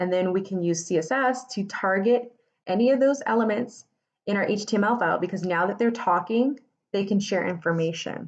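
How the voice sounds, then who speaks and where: With ordinary pitch variation, the words come out at a fairly quick pace. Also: woman. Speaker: web development tutor. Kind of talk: live coding tutorial. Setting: Instagram Live stream. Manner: casual, many fillers. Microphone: phone near.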